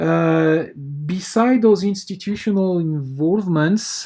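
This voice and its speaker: This man has a high voice with a dark, mellow tone and a French accent. He talks at a very slow pace with ordinary pitch variation. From France. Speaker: university researcher. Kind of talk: conference presentation. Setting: pre-recorded video. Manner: halting, many filler words.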